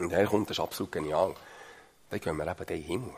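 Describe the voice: Speaking at a fairly quick pace, a man with a low pitch and a slightly husky edge uses ordinary pitch variation.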